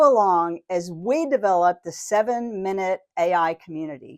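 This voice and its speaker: A soft background hush stays quiet behind a woman's voice. Her pitch swings very widely. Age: 60s. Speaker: AI educator and community founder. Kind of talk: tutorial. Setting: home studio.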